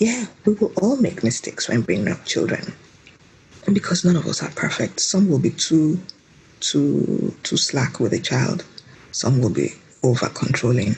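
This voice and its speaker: There is noticeable background noise as a woman speaks at a moderate pace with long, frequent pauses. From Nigeria. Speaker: mother, podcast guest. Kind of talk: interview answer.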